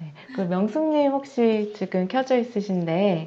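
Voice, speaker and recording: The tone is calm. The intonation is lively. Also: woman. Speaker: meditation instructor. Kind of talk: meditation class wrap-up, group sharing. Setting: video call. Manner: calm, sleep-inducing.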